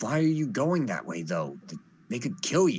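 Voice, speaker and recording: A man puts on a character voice. It sits fairly high in pitch and moves at a moderate pace. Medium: actual play.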